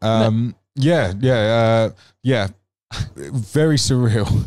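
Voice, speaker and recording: A man talks at a very slow pace. His pitch varies in an ordinary way and his loudness stays very even. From United Kingdom. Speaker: motorsport commentator. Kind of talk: interview answer.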